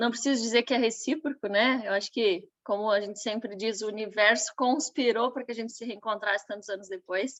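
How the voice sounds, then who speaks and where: A woman speaks in a normal speaking voice at a fairly quick pace, with hardly any pauses. Her pitch sits fairly high and her intonation stays fairly even. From western Santa Catarina, Brazil. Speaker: nutritionist. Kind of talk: online business training.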